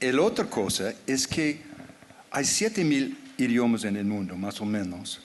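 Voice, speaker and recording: A man at a very slow pace with lively intonation. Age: 70s. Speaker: anthropologist and writer. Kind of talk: panel discussion. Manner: halting.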